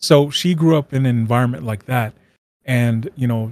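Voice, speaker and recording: A man talks at medium pitch and a moderate pace, his pitch varying in an ordinary way. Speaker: streamer and entrepreneur. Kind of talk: casual interview chat. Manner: halting, filler-heavy.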